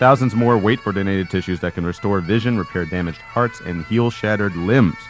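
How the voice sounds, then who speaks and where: Someone with an American accent talks at a fairly quick pace. Music plays in the background. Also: man. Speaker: radio host and voice actor. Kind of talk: college radio DJ banter. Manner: jokey, playful, rambling.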